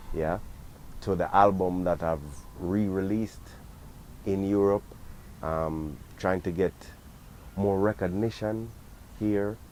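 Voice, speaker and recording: Man with a Jamaican accent, very deep, low pitch, fairly even intonation, a fairly slow pace, and long, frequent pauses. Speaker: reggae singer. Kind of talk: interview answers. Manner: halting, many fillers.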